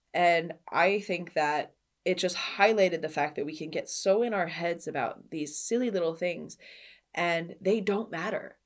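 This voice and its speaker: On a very clean recording with a silent background, a woman with a fairly low pitch talks at a moderate pace with ordinary pitch variation. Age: 30s. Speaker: personal trainer and podcast host. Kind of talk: solo podcast monologue. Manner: animated.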